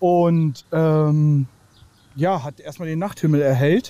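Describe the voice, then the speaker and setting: A man talks with a Berlin accent. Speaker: listener sending voice message. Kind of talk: testimony. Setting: recorded voice message.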